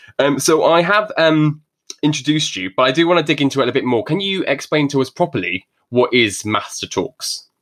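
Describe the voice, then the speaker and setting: In an English accent, a man with a fairly high pitch talks at a fairly quick pace with lively intonation. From England. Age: 30s. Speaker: podcast host. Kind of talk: casual interview chat. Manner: fast talker, mumbles.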